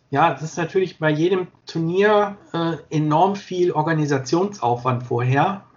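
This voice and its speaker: This man's voice sits high, with ordinary pitch variation. He talks fairly slowly with hardly any pauses. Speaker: sports videographer. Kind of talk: interview.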